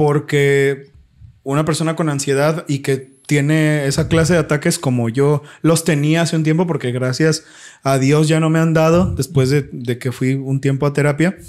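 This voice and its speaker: With a Mexican accent, a man speaks at a fairly high pitch and a moderate pace, his intonation fairly even and loudness very even, in a very clean recording with a silent background. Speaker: podcast co-host. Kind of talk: casual chat. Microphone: new microphone.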